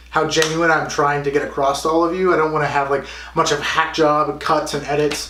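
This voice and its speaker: In a room with audible echo and noticeable background noise, a man with a fairly high pitch speaks at a fairly quick pace in a monotone, flat intonation, with hardly any pauses. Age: 20s. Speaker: fitness vlogger. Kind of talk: vlog monologue. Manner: halting; casual.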